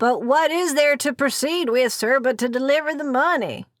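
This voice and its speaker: A woman puts on a high-pitched character voice at a moderate pace. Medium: read story.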